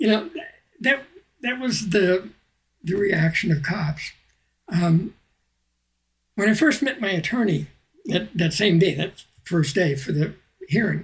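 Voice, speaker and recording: A man with a high pitch speaks at a fairly slow pace with lively intonation. He takes long, frequent pauses. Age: 60s. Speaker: activist and retired mailman. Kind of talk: podcast interview storytelling.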